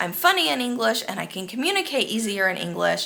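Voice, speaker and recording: The woman talks at a fairly quick pace. Her speech is in an American accent. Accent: American accent when speaking Spanish. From United States. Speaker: expat vlogger. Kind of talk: casual monologue.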